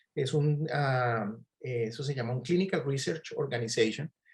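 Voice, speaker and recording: A man talks at a moderate pace in a fairly high, somewhat breathy voice with a dark, mellow tone. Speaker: physician and clinical researcher. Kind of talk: online talk. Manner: hesitant, many fillers.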